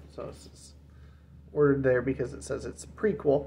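Light noise sits behind a man who talks fairly fast. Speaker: book collector vlogger. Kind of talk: casual vlog chat. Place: home room. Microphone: phone near.

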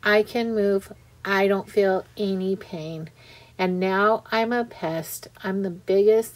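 In an unforced reading voice, the speaker keeps a fairly even intonation.

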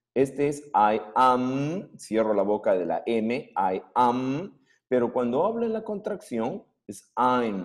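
Against a quiet background, a man speaks at a very slow pace with very wide pitch swings. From Peru. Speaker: secondary school English teacher. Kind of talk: online class lecture. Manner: animated. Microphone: webcam.

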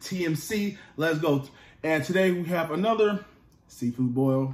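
A man's high-pitched voice at a moderate pace with ordinary pitch variation, amid audible room echo. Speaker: food vlogger. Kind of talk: casual vlog chat. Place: home room. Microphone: phone near.

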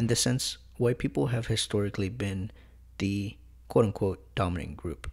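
With an American accent, a man speaks at a fairly low pitch with vocal fry. His pace is moderate and his intonation lively. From US, partly Mexico City. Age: 20s. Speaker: student podcast co-host. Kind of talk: educational podcast discussion.

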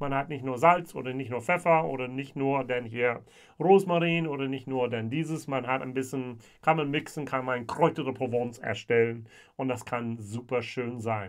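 The man speaks at a moderate pace with ordinary pitch variation. The background is quiet. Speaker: whisky reviewer. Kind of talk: casual tasting review. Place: home room.

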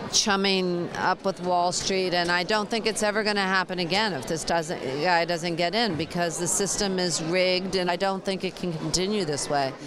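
Against noticeable background noise, a woman talks at a moderate pace with fairly even intonation in a dry sound with no echo. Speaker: interviewee. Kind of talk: interview answer. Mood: emotional, earnest. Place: hall. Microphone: handheld.

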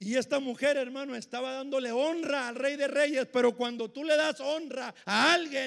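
An animated tone at a fairly slow pace over a quiet background. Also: man. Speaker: preacher. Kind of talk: sermon. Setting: church with congregation. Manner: animated, emphatic; repetitive, punchy, with frequent 'hermano'. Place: church. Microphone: handheld.

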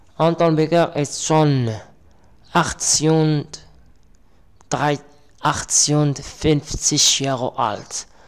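A man talks at a very slow pace, leaving long, frequent pauses. His pitch is fairly high and his intonation fairly even. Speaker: language teacher. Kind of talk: lesson/tutorial. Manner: halting.

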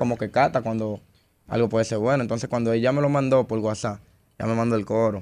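With a Dominican accent, a man talks at a very fast pace. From Dominican Republic. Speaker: urban music artist. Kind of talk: interview. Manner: calm, patient. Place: studio. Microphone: studio mic.

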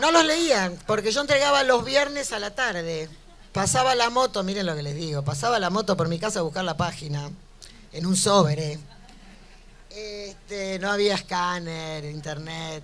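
With a Buenos Aires accent, a woman speaks at a moderate pace with lively intonation and a fairly low pitch. Light background noise sits behind her. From Buenos Aires, Argentina. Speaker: cartoonist. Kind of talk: live interview answer before an audience. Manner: brash, outspoken, humorous. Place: hall. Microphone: handheld.

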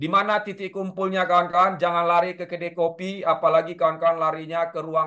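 A man speaks at a fairly quick pace and a high pitch, in a bright, sharp tone. His intonation is monotone and flat, over a quiet background. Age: 30s. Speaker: safety instructor. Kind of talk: lecture. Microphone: video call.

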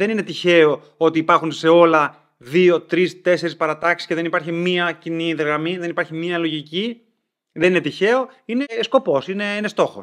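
A man with a high-pitched voice speaks at a moderate pace. His pitch varies in an ordinary way, and the background is quiet. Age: 30s. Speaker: video creator. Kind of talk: personal vlog monologue. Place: home room.

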